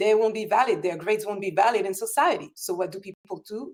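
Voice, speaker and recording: The speech moves at a fairly quick pace with lively intonation. It is delivered in a French accent. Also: woman. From France. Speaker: political talk show host. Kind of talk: political discussion.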